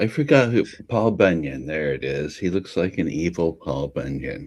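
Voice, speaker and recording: A man speaks at a very deep, low pitch. Vocal fry runs through his voice. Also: lively intonation, moderate pace. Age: 60s. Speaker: panel participant. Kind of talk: casual chat.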